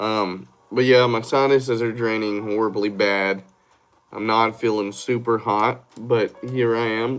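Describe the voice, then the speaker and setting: A man talks with a Southern US accent. His delivery is monotone and flat at a fairly slow pace. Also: medium pitch for a man. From Georgia, US South. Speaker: live streamer. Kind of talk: casual live stream chat.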